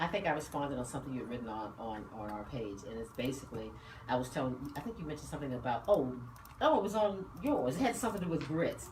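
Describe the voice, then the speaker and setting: A woman's very deep, low voice at a very fast pace with very wide pitch swings, plus audible room echo and noticeable background noise. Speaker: radio talk show host. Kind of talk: casual chat.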